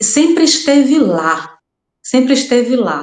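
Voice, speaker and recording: A woman with a Brazilian accent at a very slow pace. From Brazil, raised in Rondônia. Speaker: crime fiction writer. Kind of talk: podcast interview. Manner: halting, repeats words.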